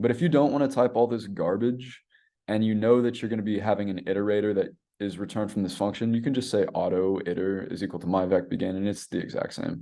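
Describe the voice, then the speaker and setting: At a very fast pace, a man speaks with a fairly low pitch and a dark, mellow tone over a quiet background. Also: ordinary pitch variation. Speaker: teaching assistant running a review session. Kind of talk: online tutorial review session.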